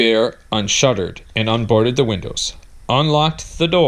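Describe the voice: The text is plainly read aloud, with pitch varying in an ordinary way.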